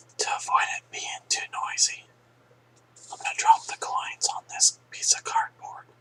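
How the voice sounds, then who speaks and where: With long, frequent pauses, a man speaks at an extremely high pitch, his voice swinging very widely in pitch and heavily in loudness over noticeable background noise. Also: moderate pace. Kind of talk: ASMR whisper video, casual talk to camera. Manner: whispered, soft-spoken.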